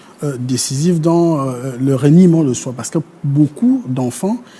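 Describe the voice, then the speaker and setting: Over noticeable background noise, a man with a fairly high pitch talks with ordinary pitch variation. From Gabon, north (Fang speaker). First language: Fang (speaking French). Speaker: historian. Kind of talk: TV panel discussion. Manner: halting, many hesitations.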